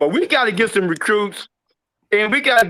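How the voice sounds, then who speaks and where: In a raised, projected voice with an American accent, the speaker talks at a moderate pace with a bright, sharp tone and ordinary pitch variation. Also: man. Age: 60s. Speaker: caller. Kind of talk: call-in sports talk. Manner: halting, repeats words.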